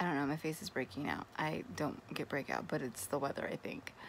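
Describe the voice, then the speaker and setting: Light noise is present in the background. Over it, a woman talks. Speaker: vlogger. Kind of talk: casual vlog chat. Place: home room. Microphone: phone near.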